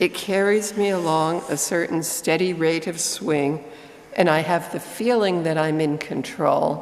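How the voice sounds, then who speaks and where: A woman speaks at a very slow pace with ordinary pitch variation. There is audible room echo and noticeable background noise. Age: 60s. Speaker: lay reader at a church service. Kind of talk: reading aloud.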